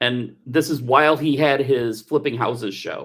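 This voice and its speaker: With an American accent and an ordinary speaking voice, a man speaks at a medium pitch and fairly even intonation. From Texas. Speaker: telethon co-host. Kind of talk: casual chat. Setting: livestream.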